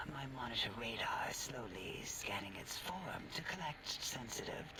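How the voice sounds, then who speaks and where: Over loud background noise, a man whispers in a cartoonish character voice at a fairly slow pace. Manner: precise, clinical.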